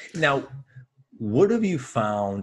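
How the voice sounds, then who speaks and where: A man with an ordinary speaking voice talks at a fairly slow pace, his intonation lively. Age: 30s. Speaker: podcaster in sales. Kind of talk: casual chat.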